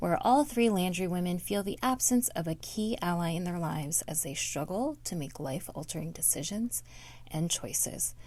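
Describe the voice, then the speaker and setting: A woman with a fairly low, dark and mellow voice sounds soothing and calm, somewhat breathy, with very wide pitch swings. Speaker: podcast co-host. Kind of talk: reading aloud; casual chat. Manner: soothing, calm.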